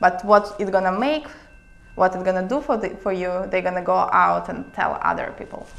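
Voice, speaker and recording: The speaker talks at a fairly quick pace in a Russian accent, with noticeable background noise behind them. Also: woman. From Siberia, Russia. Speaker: international attorney, startup consultant. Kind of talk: casual interview.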